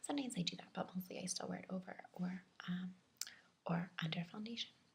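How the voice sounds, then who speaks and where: A soft-spoken woman whispering at a fairly quick pace, with vocal fry. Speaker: ASMR video creator. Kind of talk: ASMR makeup show and tell. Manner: whispered, soft-spoken.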